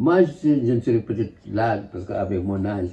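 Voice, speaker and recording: A man's somewhat breathy voice. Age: 80s+. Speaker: museographer, photographer, filmmaker. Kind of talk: interview answer.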